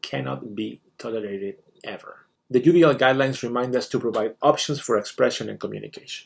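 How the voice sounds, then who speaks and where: A man with a Spanish accent at a fairly quick pace. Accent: foreign accent (Spanish). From Spain. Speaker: teacher. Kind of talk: scripted presentation. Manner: formal.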